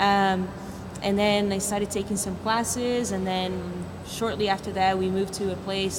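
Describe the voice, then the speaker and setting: A woman's medium-pitched voice, monotone and flat, at a moderate pace, with audible room echo and noticeable background noise. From Brazil, São Paulo. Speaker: capoeira teacher. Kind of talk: casual chat.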